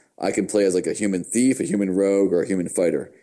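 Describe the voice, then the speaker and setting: A man with a very deep, low pitch and a dark, mellow tone talks at a very fast pace. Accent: American. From United States. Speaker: gaming podcast co-host. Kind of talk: casual chat.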